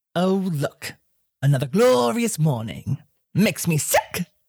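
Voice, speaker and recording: Putting on a gravelly character voice, a woman speaks at a very deep, low pitch and a fairly slow pace. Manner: sarcastic.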